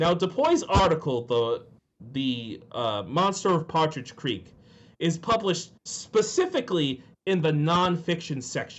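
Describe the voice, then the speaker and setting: A man with an American accent, a fairly high pitch, very wide pitch swings and a fairly slow pace. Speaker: podcast co-host. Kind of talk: casual chat.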